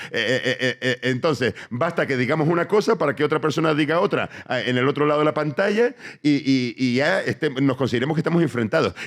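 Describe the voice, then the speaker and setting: A man talks at a fairly quick pace with very even loudness and ordinary pitch variation. The recording is very clean, with a silent background. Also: fairly high pitch for a man. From Tenerife, Canary Islands. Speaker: comedian. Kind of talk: live podcast interview answer. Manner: rambling, reflective monologue.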